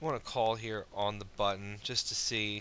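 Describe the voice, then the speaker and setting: A man at medium pitch speaks loudly in a bright, sharp tone. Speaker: online poker strategy video maker. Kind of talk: gameplay commentary tutorial. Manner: halting, many fillers.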